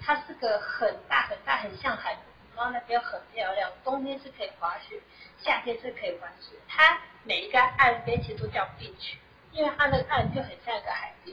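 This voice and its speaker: The speech runs at a moderate pace. Its loudness swings widely. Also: woman. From Taiwan. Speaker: SAP consultant. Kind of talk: interview. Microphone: too quiet at first.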